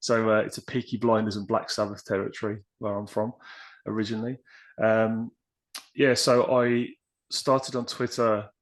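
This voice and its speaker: In an English accent over a quiet background, a man speaks at medium pitch and a moderate pace, monotone and flat, with long, frequent pauses. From West Midlands, England (near Birmingham). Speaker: podcast guest, writer on personal development. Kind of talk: casual interview chat. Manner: hesitant, many fillers.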